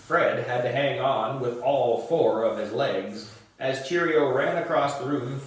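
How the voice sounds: Pitch moves in an ordinary way in this natural reading voice.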